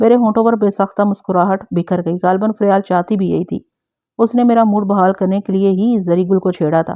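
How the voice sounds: Quiet surroundings behind a natural reading voice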